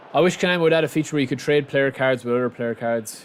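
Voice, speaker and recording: Very fast speech in an Irish accent comes through over noticeable background noise. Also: man. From Republic of Ireland, outside Dublin. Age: 30s. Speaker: gaming streamer. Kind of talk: live gameplay stream chat. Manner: casual; animated.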